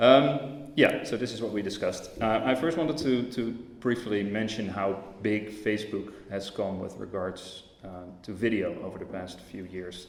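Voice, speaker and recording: In a Dutch accent, a man talks at a moderate pace with ordinary pitch variation. Audible room echo and noticeable background noise come through. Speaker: tech company representative. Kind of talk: conference talk. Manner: hesitant, many fillers.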